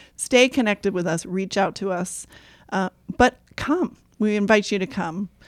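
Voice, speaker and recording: In a very clean recording, silent background, a woman speaks at a medium pitch and a moderate pace with ordinary pitch variation, the sound dry and close with no echo. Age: 50s. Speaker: parish podcast host. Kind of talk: casual chat. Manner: animated.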